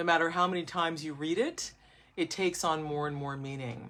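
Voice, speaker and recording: A woman speaks with a very deep, low pitch and ordinary pitch variation. The recording is very clean, with a silent background. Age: 60s. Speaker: book channel host reading from grandfather's book. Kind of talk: casual talk and reading aloud to viewers.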